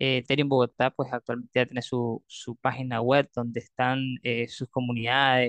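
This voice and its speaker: A man speaks with monotone, flat intonation. The sound is dry and close, with no echo. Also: medium pitch for a man, moderate pace. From Nicaragua. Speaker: crypto community leader. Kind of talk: interview. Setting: remote call.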